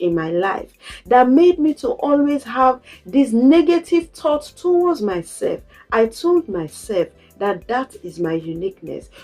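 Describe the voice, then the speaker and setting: Over music in the background, a woman speaks at a fairly slow pace in a high pitch with very wide pitch swings. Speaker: motivational content creator. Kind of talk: motivational talk.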